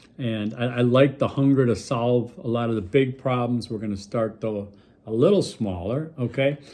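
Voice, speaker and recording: Over a quiet background, a man with an American accent speaks in a normal speaking voice at a medium pitch and moderate pace, with ordinary pitch variation. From Milwaukee, US Midwest. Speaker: college instructor. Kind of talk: recorded lecture video for students. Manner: casual, conversational with fillers.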